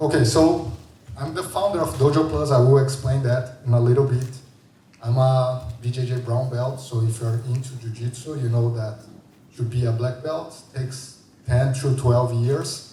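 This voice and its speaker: Noticeable background noise and audible room echo surround a man speaking at medium pitch and a moderate pace with fairly even intonation. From Brazil. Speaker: designer and founder. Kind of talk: conference talk. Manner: conversational, many fillers.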